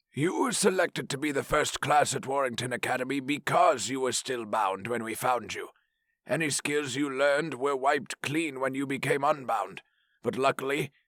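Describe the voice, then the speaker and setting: A put-on character voice recorded with a dry, close sound and no echo. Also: man, medium pitch for a man, moderate pace, ordinary pitch variation. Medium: read story. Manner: dry, stern, lecturing.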